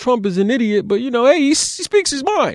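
Very wide pitch swings run through this very fast delivery in a New York accent. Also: man. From Brooklyn, New York. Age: 40s. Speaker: lawyer. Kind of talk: casual interview.

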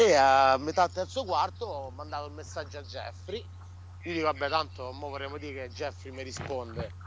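Very deep and low, a man's somewhat breathy voice moves at a fairly quick pace with an animated tone. His pitch swings very widely, and his loudness shifts in big swings. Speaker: restaurant owner and football fan. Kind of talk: casual chat. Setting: remote call.

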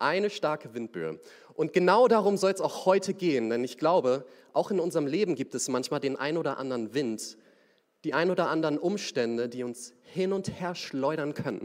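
A man talks at a moderate pace in a plain, everyday voice. His fairly high pitch carries lively intonation. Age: young. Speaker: young lay preacher. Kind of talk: sermon.

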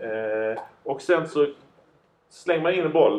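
This man has an ordinary speaking voice. It sits at a fairly high pitch with ordinary pitch variation. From southern Sweden, Lund. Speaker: entertainer and entrepreneur. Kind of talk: casual chat. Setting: studio.

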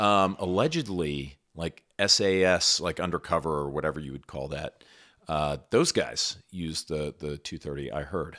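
Very deep and low, a man's voice carries vocal fry, a bright, sharp tone and ordinary pitch variation at a moderate pace. His loudness swings widely on a very clean recording with a silent background. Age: 40s. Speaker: gun review video host. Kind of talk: casual chat.

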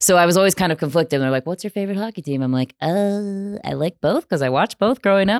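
A woman talking at a very fast pace with lively intonation, dry and close with no echo, on a very clean recording with a silent background. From US Midwest. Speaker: sports broadcaster.

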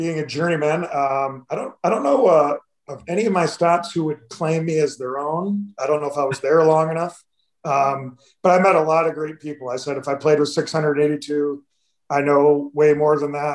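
A man's plain, everyday voice, fairly high in pitch, with an American accent, fairly even intonation and a moderate pace. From Michigan (Detroit area). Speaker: retired hockey player. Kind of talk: casual interview. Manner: dry, understated.

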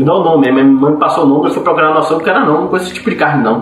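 The man's voice sits fairly high in pitch. Noticeable background noise and audible room echo are present. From Salvador, Bahia. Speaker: podcast panelist. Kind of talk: casual chat.

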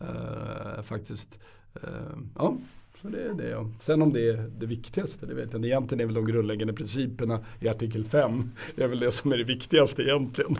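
Speaking at a fairly quick pace, a man shows vocal fry and ordinary pitch variation. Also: medium pitch for a man. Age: 50s. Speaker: lawyer. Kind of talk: casual chat. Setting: studio.

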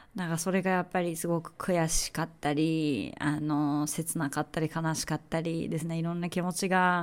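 A woman speaks at a moderate pace in a fairly low pitch, her monotone, flat delivery running on with hardly any pauses. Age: 40s. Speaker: podcast host. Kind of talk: personal monologue. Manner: halting.

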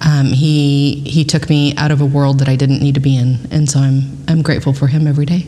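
A woman with an American accent speaks fairly quickly at a very deep, low pitch, flat and monotone, with very even loudness and noticeable background noise. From South Texas (Kingsville). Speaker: volunteer youth mentor. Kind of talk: casual interview chat. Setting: on location at a venue.

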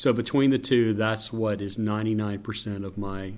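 This man has a fairly low pitch. He speaks with a slight Southern US accent. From North Carolina. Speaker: stadium public address announcer. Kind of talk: interview, casual chat.

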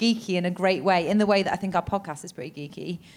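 A woman with an English accent and a medium pitch talks at a fairly quick pace with fairly even intonation, on a very clean recording with a silent background. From England. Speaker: podcaster. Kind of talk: live comedy interview podcast. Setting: stage with audience.

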